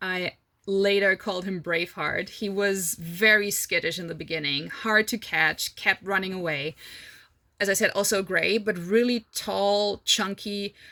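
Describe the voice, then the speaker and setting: In a non-native accent, a woman speaks fairly slowly at a medium pitch, her tone bright and sharp and her intonation fairly even. The recording is very clean against a silent background. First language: not English. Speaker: horse rider / endurance racer, vlogger. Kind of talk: casual Q&A monologue. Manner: casual, hesitant fillers.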